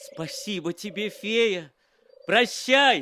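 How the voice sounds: A man puts on a character voice with a bright, sharp tone and a high pitch. He talks at a slow pace with lively intonation.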